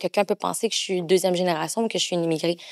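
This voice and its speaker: A woman with a Quebec accent speaks at a medium pitch with ordinary pitch variation, in a very clean recording with a silent background and a dry, close sound with no echo. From Quebec, Granby. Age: 30s. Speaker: adoptee sharing her story. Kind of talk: podcast interview, personal testimony.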